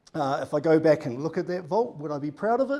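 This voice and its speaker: With a New Zealand accent, a man talks at a fairly quick pace in a high voice with lively intonation. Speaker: data consultant. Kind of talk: conference presentation.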